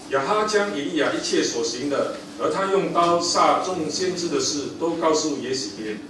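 A man with a high-pitched voice and lively intonation talks with hardly any pauses. The recording carries audible room echo and noticeable background noise. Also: moderate pace. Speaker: preacher reading scripture. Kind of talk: scripture reading in a sermon. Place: church.

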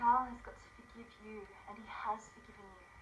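A woman speaks quietly in an intense tone at a fairly high pitch, her intonation monotone and flat. Light background noise can be heard. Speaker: actress. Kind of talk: dramatic monologue performed for a showreel, earnest scene-acting. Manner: intense, pleading, emotionally urgent, slow and deliberate; tender, imploring, hushed at moments. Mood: earnest, pleading. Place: home room.

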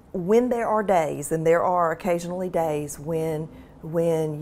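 In a Mississippi accent, a woman talks at a fairly slow pace with a fairly low pitch and a dark, mellow tone. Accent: Southern US (Mississippi). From US South, rural Mississippi (Carroll County). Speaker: medical school administrator and physician. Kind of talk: interview. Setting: studio. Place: office. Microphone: lapel.

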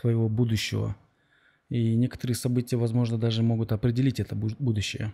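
Over a quiet background, a man with a medium-pitched, dark, mellow and somewhat breathy voice talks at a fairly quick pace in a monotone, flat intonation with very even loudness. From Kyrgyzstan. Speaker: podcast host. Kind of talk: interview. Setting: outdoors. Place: studio. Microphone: studio mic.

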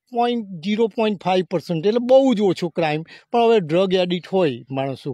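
This man has a high pitch, a dark, mellow tone, and a dry sound with no echo. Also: quiet background. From Gujarat, India (Anand district); Gujarat. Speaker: retired emigrant to the USA; interviewee. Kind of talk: interview answers. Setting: outdoors on a farm. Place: farm. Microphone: handheld.

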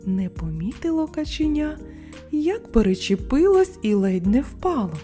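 Faint music plays behind a woman's high voice with a dark, mellow tone. She speaks at a fairly slow pace, her pitch swinging widely.

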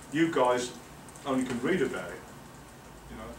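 Lively intonation in an English accent, with audible room echo and light background noise. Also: man. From England. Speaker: professor. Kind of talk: lecture. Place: meeting room. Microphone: camera far.

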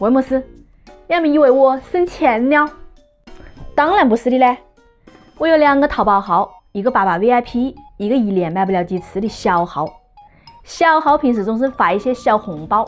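With long, frequent pauses, a woman talks at a high pitch with very wide pitch swings while faint music plays in the background. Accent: Wuhan. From Wuhan. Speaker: lifestyle vlogger. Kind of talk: casual talk to camera. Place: home room. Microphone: phone near.

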